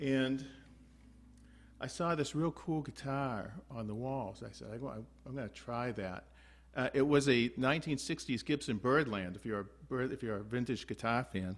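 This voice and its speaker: A medium-pitched man with an unremarkable speaking voice, a moderate pace, and ordinary pitch variation. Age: 60s. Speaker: guitar teacher. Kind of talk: online group lesson with anecdote. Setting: video call. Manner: casual, many fillers.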